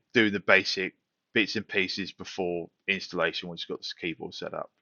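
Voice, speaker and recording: A man is speaking. He has a British accent. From United Kingdom. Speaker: tech tutorial youtuber. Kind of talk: tutorial. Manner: casual, with fillers.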